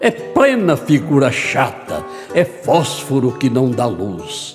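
A man speaks with music playing in the background. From Brazil, São Paulo state. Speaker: poetry reciter. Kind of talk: poetry reading. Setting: studio, with guitar accompaniment.

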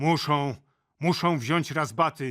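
A gruff, put-on character voice from a man, fairly high in pitch, at a fairly slow pace with ordinary pitch variation. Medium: read story. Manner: blustering, gruff.

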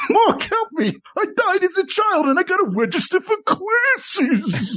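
A man speaks at a moderate pace in a put-on character voice. His pitch is extremely high. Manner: shivering, breathy.

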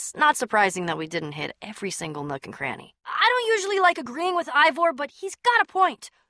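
A woman puts on a character voice, high-pitched and fairly quick. Her tone is bright and sharp, with big pitch swings.

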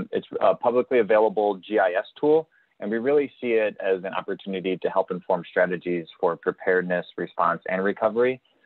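A man with an ordinary speaking voice talks fairly quickly at a fairly low pitch with hardly any pauses and ordinary pitch variation, in a dry sound with no echo. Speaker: federal emergency management planner; presenter. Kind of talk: webinar presentation. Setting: video call. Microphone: video call.

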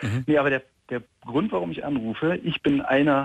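A man talks in a plain, everyday voice, at a medium pitch and moderate pace. The background is quiet and the sound dry with no echo. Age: 30s. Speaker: caller, vegan parent; caller. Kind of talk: phone call-in conversation. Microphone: phone line.

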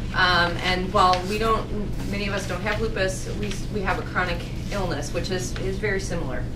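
Music plays in the background as a woman speaks at a fairly quick pace. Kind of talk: lecture. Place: meeting room.

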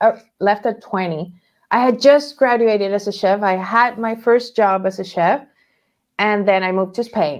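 A woman with a Spanish accent, at a moderate pace with ordinary pitch variation, against a quiet background. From Venezuela. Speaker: toy maker and painter, former chef; podcast guest. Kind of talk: interview. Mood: relaxed, animated. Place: home room.

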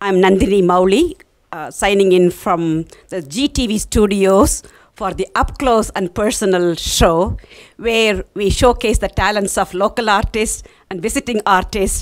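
In a quiet background, a woman speaks fairly slowly with ordinary pitch variation. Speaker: TV interview host. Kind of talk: TV show intro. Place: studio. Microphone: handheld.

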